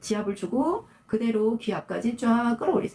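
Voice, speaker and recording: Noticeable background noise runs behind the voice. The pace is moderate. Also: woman. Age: 60s. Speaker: esthetician. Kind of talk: tutorial. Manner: casual, conversational.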